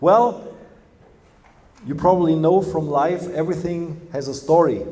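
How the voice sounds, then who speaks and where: Amid noticeable background noise and audible room echo, a man with a Bavarian accent speaks at a fairly slow pace in a high pitch with ordinary variation. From Germany, Bavaria. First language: German. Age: 50s. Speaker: company representative. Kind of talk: lecture.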